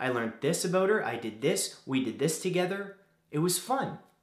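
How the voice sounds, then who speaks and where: A man's lively intonation at a moderate pace, with audible room echo. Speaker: vlogger giving advice. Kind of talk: casual advice vlog. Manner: soft-spoken.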